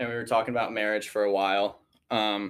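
The speaker has a Midwestern American accent. The pace is moderate. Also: man. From Missouri, St. Louis area. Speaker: college student speaker. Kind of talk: testimony. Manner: halting, many fillers.

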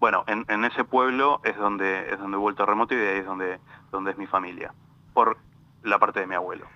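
Talking at a fairly quick pace, a man with a fairly low pitch and a bright, sharp tone keeps his intonation fairly even. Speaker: lawyer specialising in European citizenship. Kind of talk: interview. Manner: halting.

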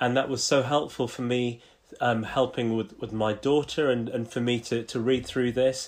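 With a British accent, a man speaks at a moderate pace in a monotone, flat intonation. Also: medium pitch for a man. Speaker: podcast co-host. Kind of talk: casual conversation. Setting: video call.

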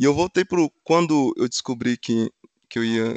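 A man's voice with ordinary pitch variation, heard dry and close with no echo. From Minas Gerais, Brazil (Funilândia). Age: 30s. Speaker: automotive engineer. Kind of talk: casual interview chat.

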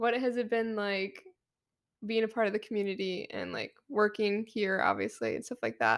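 An unremarkable speaking voice with an American accent keeps a moderate pace and fairly even intonation on a very clean recording with a silent background. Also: woman. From eastern Michigan. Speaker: student podcast host. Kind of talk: casual interview; announcements.

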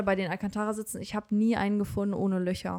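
The voice holds a monotone, flat intonation on a very clean recording with a silent background. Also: woman. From Germany, Bonn area. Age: 20s. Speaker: car enthusiast, car dealership employee. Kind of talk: casual chat.

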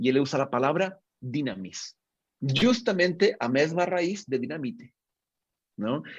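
Over a quiet background, a man speaks at a fairly slow pace in a fairly high, somewhat breathy voice, his pitch swinging very widely. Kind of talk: interview conversation.

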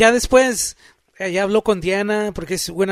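A man talks at a fairly quick pace. His intonation stays fairly even. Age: 50s. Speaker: recording engineer. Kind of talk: casual chat.

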